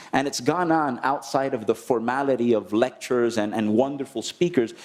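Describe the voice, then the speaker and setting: A man with a Spanish accent talks at a fairly quick pace with ordinary pitch variation. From Dominican Republic. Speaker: conference delegate. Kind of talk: closing remarks at a conference. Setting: conference plenary session.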